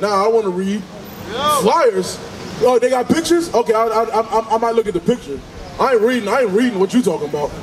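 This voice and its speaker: Over crowd noise in the background, a man talks at a very fast pace with lively intonation. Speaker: street preacher. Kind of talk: sermon. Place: street. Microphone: handheld.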